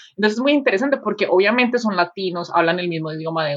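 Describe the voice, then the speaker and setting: A woman's voice, fairly low in pitch. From Colombia, Medellín. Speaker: podcast co-host. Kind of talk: casual chat.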